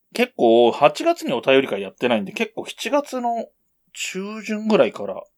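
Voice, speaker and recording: The speech moves at a moderate pace with big swings in loudness. It sounds dry and close, with no echo. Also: man. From Japan, Yamanashi. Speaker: podcast co-host. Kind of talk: casual chat.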